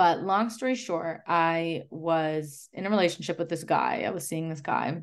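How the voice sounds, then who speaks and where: With an ordinary speaking voice, a woman talks at a moderate pace with hardly any pauses, a fairly low pitch and ordinary pitch variation over a quiet background. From Chicago. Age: 20s. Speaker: holistic nutritionist and podcast host. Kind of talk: casual interview chat.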